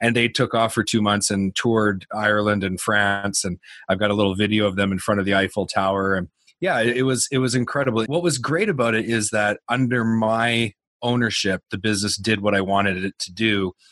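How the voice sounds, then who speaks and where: Speaking with a Canadian accent, a man uses a plain, everyday voice at a fairly low pitch and a fairly quick pace. His intonation is fairly even, and the sound is dry and close with no echo. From New Brunswick, Canada. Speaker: business owner. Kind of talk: interview.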